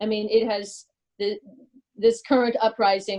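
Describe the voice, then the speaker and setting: This woman has an ordinary speaking voice at a medium pitch, with fairly even intonation. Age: 60s. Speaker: activist. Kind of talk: discussion contribution.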